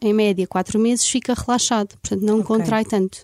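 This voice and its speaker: A woman speaks at a fairly quick pace in a dark, mellow tone. Her fairly high voice shows ordinary pitch variation, and the sound is dry and close with no echo. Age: 30s. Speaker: aesthetic medicine doctor. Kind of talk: interview. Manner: halting.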